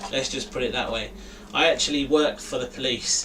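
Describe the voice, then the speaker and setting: The speaker has a slight London accent. Noticeable background noise runs under the voice. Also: man. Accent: London accent, a bit. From East London, England. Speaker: RC hobby YouTuber. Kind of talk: live stream chat. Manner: casual, filler-heavy.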